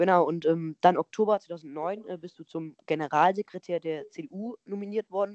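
The sound is dry and close with no echo as a woman with an ordinary speaking voice talks at a moderate pace, fairly low in pitch and fairly even in intonation. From Lower Rhine, Germany (Neuss). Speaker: podcast host. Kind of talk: interview.

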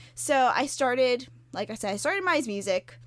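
Lively intonation over noticeable background noise. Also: woman. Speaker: music blogger and podcast host. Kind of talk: casual interview chat.

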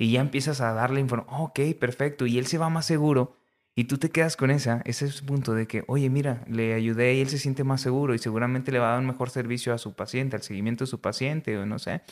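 Recorded very cleanly against a silent background, a man with a medium-pitched voice talks at a very fast pace. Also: fairly even intonation. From northern Mexico, Coahuila. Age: 30s. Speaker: nutritionist and government official. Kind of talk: casual interview chat.

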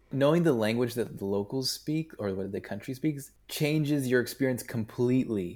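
A man's medium-pitched voice at a moderate pace, with ordinary pitch variation, on a very clean recording with a silent background. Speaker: entrepreneur, founder of a youth initiative. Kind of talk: casual interview chat.

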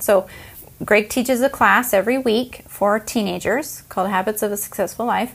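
A woman with an American accent speaks in a plain, everyday voice, fairly high-pitched with fairly even intonation. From United States. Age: 40s. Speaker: podcast co-host. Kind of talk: casual chat.

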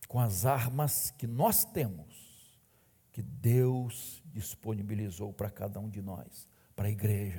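Very slow man's voice, fairly low in pitch and somewhat breathy, with a dark, mellow tone and ordinary pitch variation. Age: 60s. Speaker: pastor. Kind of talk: sermon. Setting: church.

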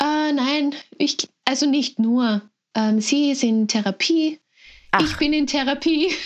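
Speaking at a very slow pace, a woman with a high pitch keeps her loudness very even and her pitch variation ordinary. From Lower Austria. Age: 20s. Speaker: sibling of a person with Down syndrome. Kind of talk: interview.

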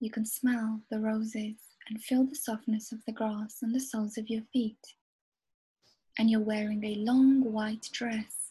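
The woman's fairly high voice is somewhat breathy, with a dark, mellow, soothing and gentle tone. She speaks at a fairly slow pace with monotone, flat intonation. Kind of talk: guided hypnosis meditation. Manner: slow, soothing, hypnotic, gentle.

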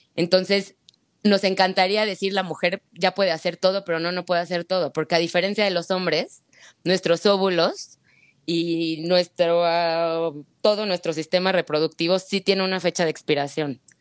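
Her delivery is monotone and flat at a moderate pace. The woman's voice sits fairly low, with a dry, close sound and no echo. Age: 30s. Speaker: egg-freezing patient sharing her experience. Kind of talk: testimony in casual chat.

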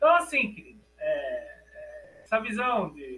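A man's raised, projected voice with lively intonation, music playing in the background. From Brazil. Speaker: academic author on African philosophy. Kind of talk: lecture.

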